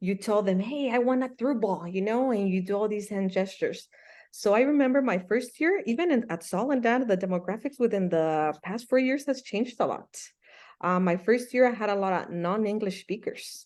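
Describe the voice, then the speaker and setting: A woman speaks with a Spanish accent at a fairly high pitch and a moderate pace. Her intonation is lively, with a quiet background. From Mexico (Michoacán), moved to US at about 8. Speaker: soccer coach and Spanish teacher. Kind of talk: interview. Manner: animated.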